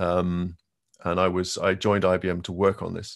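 Against a quiet background, a man with a very deep, low voice speaks at a moderate pace. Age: 50s. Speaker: tech company quantum manager; presenter. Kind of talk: conference presentation. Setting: video call. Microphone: video call.

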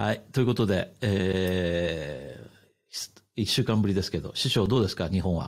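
A man's very deep, low voice with vocal fry, ordinary pitch variation, and a fairly slow pace. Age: 50s. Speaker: podcast host. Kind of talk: casual chat. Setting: remote call, three separate locations.

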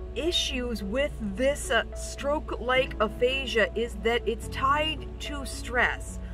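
A woman speaks at a very slow pace, with a dry sound and no echo. Clear music plays in the background. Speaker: vlogger with stroke-like aphasia. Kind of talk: personal vlog talk to camera. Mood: earnest, a bit strained. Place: car. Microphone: phone near.

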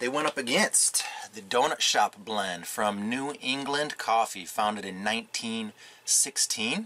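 Speaking very slowly yet with hardly any pauses, a man with an American accent uses ordinary pitch variation. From Michigan. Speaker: coffee reviewer. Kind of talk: casual product review. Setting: pop-up camper at an RV park. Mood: upbeat, relaxed. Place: tent.

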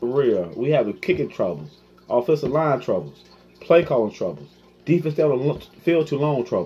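Lively intonation from a man at a fairly high pitch with vocal fry, at a moderate pace. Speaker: sports fan YouTuber. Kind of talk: angry post-game fan rant to camera. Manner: run-on, breathless venting that loops into repeated complaints; exasperated, mock-sobbing then laughing in frustration. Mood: frustrated, disappointed fan. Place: home room. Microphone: phone near.

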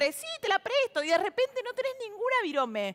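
A woman's very fast, animated delivery with very wide pitch swings. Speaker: TV show host and comedian. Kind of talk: stand-up monologue intro, then show hosting. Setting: TV studio with audience. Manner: animated, chatty, humorous. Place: stage. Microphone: headset.

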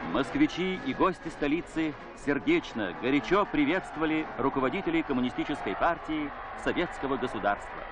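Noticeable background noise sits behind a man with a fairly high pitch and ordinary pitch variation. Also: moderate pace. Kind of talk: newsreel narration. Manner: solemn, formal.

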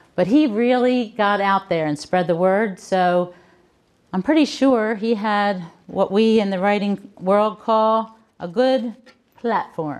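A woman with an American accent, lively intonation and a fairly slow pace. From Baltimore, Maryland. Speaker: author and book coach; book coach. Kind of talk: keynote speech. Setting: conference stage with audience. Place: hall. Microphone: handheld.

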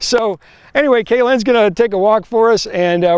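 The man talks at a very fast pace, and the sound is dry with no echo. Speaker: presenter. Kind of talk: humorous product demo commentary. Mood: playful, joking. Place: street.

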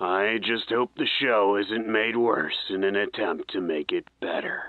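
This man talks at a fairly slow pace and a medium pitch. His intonation is fairly even, and his loudness stays very even. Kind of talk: old-time radio acting. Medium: audio drama. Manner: concerned, dry humor.

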